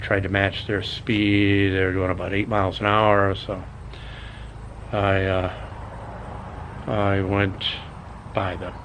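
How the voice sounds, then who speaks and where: Audible room echo surrounds a man speaking at a fairly slow pace, with a fairly low pitch and monotone, flat intonation. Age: 60s. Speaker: YouTube vlogger. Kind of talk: casual vlog monologue. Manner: halting, many fillers.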